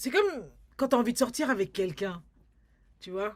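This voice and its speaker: Lively intonation from a woman with a fairly high pitch. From France, Paris. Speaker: filmmaker and community artist. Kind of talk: interview. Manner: halting, many repetitions.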